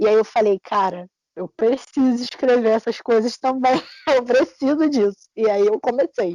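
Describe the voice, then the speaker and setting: The speaker talks at a moderate pace with a Carioca accent. Pitch moves up and down in an ordinary way. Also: woman, fairly high pitch for a woman. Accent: carioca Brazilian Portuguese. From Brazil, Rio de Janeiro. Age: 20s. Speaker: fanfiction writer and editor. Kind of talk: interview. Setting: podcast.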